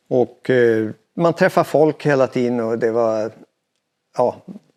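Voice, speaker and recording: At a medium pitch, a man talks with fairly even intonation. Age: 60s. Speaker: veteran mountain biker. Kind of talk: interview. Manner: hesitant, many fillers.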